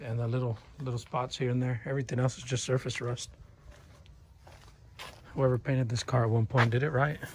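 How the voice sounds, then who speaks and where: The speaker keeps a moderate pace. Background noise is noticeable. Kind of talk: casual vlog commentary. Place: garage. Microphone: phone near.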